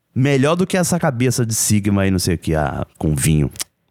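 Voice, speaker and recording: A man talks at a fairly quick pace with fairly low pitch and very wide pitch swings. The recording is very clean, with a silent background. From Brazil, Rio de Janeiro. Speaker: podcast co-host. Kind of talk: casual chat.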